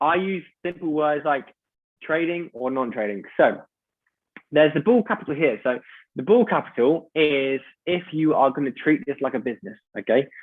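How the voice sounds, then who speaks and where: A man talks with lively intonation in a fairly high voice. He leaves long, frequent pauses. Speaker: presenter of a business opportunity. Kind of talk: online sales presentation. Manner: fast.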